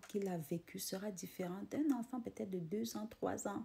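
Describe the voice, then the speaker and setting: A woman speaks in a dark, mellow tone that is somewhat breathy. She talks with a non-native accent. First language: not French (speaking French). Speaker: motivational vlogger. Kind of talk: casual motivational monologue. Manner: halting, repeating words.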